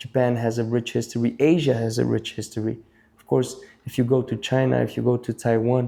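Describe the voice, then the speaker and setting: With an Albanian accent, a man at medium pitch talks at a fairly quick pace in a dark, mellow tone and monotone, flat intonation. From Albania, moved to Belgium at eight. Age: 30s. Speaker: breakdancer, event MC and judge. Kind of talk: interview conversation.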